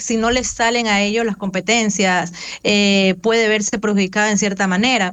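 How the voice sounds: A woman at medium pitch with a clear, smooth, fairly bright tone, fairly even intonation and a fairly slow pace.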